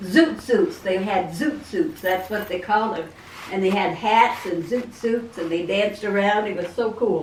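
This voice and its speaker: Delivered at a moderate pace with lively intonation, the speech carries audible room echo and noticeable background noise. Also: woman, medium pitch for a woman. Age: 70s. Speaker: grandmother being interviewed. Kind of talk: casual interview. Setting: video call. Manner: halting.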